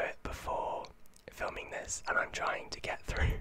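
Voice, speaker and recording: A man is whispering. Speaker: vlogger. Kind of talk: casual vlog chat. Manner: soft-spoken, close-mic, slightly sick voice. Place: home room. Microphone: studio mic.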